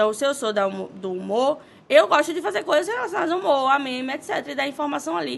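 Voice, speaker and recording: At a very fast pace, a woman talks in a high pitch that swings very widely. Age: 30s. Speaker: social media manager. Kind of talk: podcast interview.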